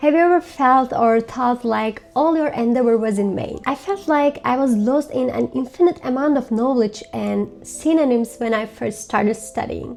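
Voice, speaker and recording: The speaker has a Turkish accent and ordinary pitch variation, moving at a moderate pace with hardly any pauses. Noticeable background noise runs underneath. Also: woman, high pitch for a woman. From Turkey. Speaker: language learning vlogger. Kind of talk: tutorial.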